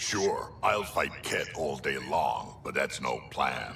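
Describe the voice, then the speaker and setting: A man puts on a character voice and talks at a very slow pace. Clear background noise runs behind him. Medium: machinima. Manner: dry, sarcastic.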